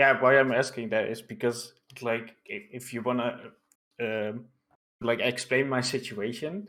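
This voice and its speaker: Speaking fairly slowly with a non-native accent, a man uses ordinary pitch variation in a bright, sharp tone. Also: medium pitch for a man. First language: not English. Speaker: online political streamer. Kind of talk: casual interview chat.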